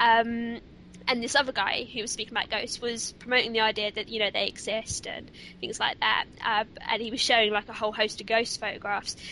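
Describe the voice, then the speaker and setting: Her fairly high voice has a bright, sharp tone, and the woman speaks at a fairly quick pace in a monotone, flat intonation. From southern England. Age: 20s. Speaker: podcast co-host and ghost hunter. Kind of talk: casual interview chat.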